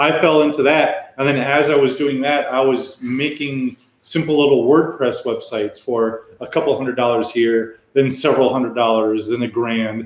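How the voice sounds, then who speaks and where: A man with an American accent and a normal speaking voice speaks at a moderate pace, with medium pitch and fairly even intonation. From United States. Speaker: web developer and English teacher. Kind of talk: casual chat. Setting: livestream.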